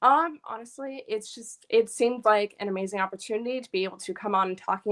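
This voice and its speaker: A plain, everyday voice from a woman with an American accent, pitched fairly high, moving at a fairly quick pace with ordinary pitch variation. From New York. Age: 20s. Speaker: guest panelist, university student. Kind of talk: casual panel discussion.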